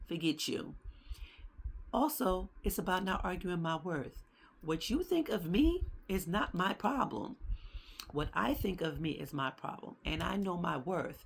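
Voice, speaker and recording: A woman with a medium pitch speaks at a moderate pace in a somewhat breathy, animated tone, her intonation lively and her speech marked by long, frequent pauses. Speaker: podcast host. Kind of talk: casual monologue.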